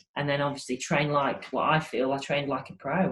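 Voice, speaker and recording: In a northern English accent, a woman with a very deep, low pitch talks at a fairly quick pace in a monotone, flat way. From northern England, Grimsby, Lincolnshire. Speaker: cricket coach. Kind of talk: interview. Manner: hesitant, many repeated words.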